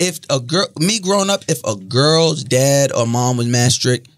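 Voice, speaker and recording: With a quiet background behind him, a man speaks at a medium pitch using lively intonation. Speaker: podcaster. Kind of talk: casual chat. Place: studio. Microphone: studio mic.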